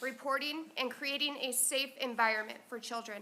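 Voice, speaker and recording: Raised and projected, a woman's voice rings at a high pitch. Her intonation stays fairly even. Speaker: parent giving public comment. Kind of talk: prepared public comment read aloud. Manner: fast.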